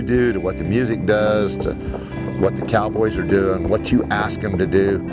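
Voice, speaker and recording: Loud music plays in the background as a man talks at a fairly slow pace, the sound dry with no echo. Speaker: rodeo announcer. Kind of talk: interview answer. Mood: warm, excited, nostalgic. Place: farm machine. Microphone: lapel.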